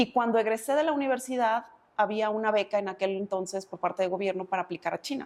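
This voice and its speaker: A woman's fairly high voice at a very fast pace, with ordinary pitch variation. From Mexico, Uruapan, Michoacán. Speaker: insurance and savings advisor, speaker. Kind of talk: interview conversation.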